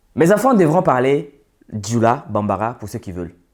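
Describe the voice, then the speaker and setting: With very wide pitch swings, a man speaks at a moderate pace against a silent background in a very clean recording. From Côte d'Ivoire (urban, Senufo family). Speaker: social and business commentator. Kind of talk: monologue to camera.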